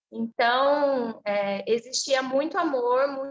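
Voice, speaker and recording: This woman speaks at a high pitch. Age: 30s. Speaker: interviewee sharing a personal story. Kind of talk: testimony.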